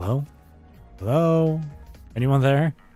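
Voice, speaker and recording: A man puts on a strained character voice at a fairly high pitch. Faint music plays in the background. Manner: uncertain, calling out.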